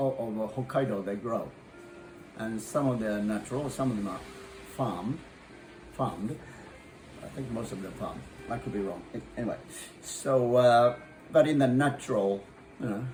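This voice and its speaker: A man at medium pitch and moderate pace, with ordinary pitch variation and long, frequent pauses, amid audible room echo and noticeable background noise. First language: Japanese. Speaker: chef and restaurant owner. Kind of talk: cooking tutorial. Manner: halting.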